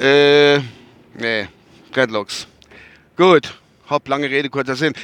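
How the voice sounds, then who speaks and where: This is a man with a medium-pitched voice. The recording sounds dry and close, without any echo. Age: 50s. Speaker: vlogger. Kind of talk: casual monologue. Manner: rambling, halting.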